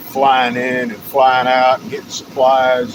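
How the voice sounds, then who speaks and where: A man with a slight Texas accent speaks at a medium pitch over noticeable background noise. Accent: slight Texas twang. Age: 50s. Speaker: live streamer. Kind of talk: casual live stream chat. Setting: outdoors, walking. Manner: rambling, halting.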